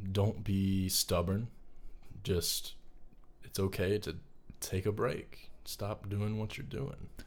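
Pausing long and often, a man talks at a very slow pace in a fairly low, somewhat breathy voice with fairly even intonation. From North Carolina, US South. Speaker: film student. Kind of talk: casual interview chat.

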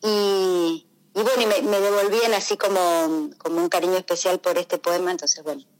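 Speaking in an Argentine accent, a woman keeps a medium pitch with ordinary variation and very even loudness, moving at a moderate pace with hardly any pauses. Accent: Rioplatense Argentine Spanish. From Rosario, Argentina. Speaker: poet. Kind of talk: radio interview. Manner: halting.

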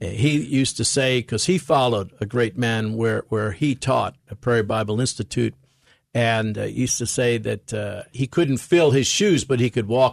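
A man talks at a moderate pace in a medium pitch with an American accent and ordinary pitch variation. The sound is dry and close with no echo, over a quiet background. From New York City. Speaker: preacher and ministry president. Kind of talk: radio interview.

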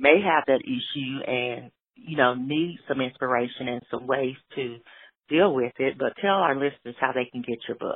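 A woman's very deep, low voice with ordinary pitch variation at a moderate pace. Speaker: interviewer, works with guest. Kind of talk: interview.

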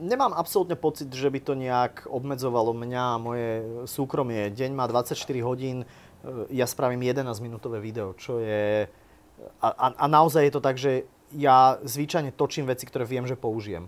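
With an unremarkable speaking voice, this man keeps a moderate pace and lets his pitch vary in an ordinary way. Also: medium pitch for a man. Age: 30s. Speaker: YouTuber and vlogger. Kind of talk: live interview before an audience.

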